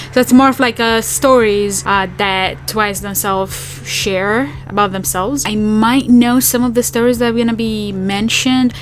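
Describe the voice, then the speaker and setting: A woman with a non-native accent talks at a moderate pace, hardly pausing, in a fairly high pitch with ordinary variation. Noticeable background noise is present. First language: not English. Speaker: K-pop reaction youtuber. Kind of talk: casual reaction video chat. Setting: home apartment.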